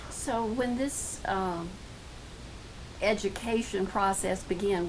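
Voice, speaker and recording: Noticeable background noise runs under the recording. The speaker is a woman. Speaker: oral history interviewer.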